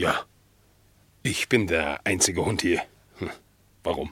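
Using a put-on character voice, a man speaks slowly at a low pitch with ordinary pitch variation. The tone is fairly bright with a slightly husky edge.

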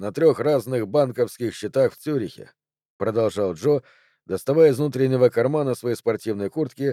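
Ordinary pitch variation in a natural reading voice, with a quiet background behind it.

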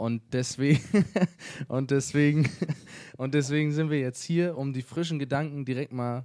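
Fairly slow and slightly mellow in tone, a man's voice sits at a medium pitch. His intonation stays fairly even.

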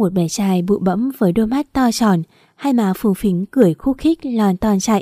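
Natural reading voice

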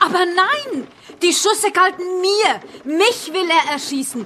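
A put-on character voice with a fairly bright tone. It moves slowly, with lively intonation. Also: woman, extremely high pitch for a woman.

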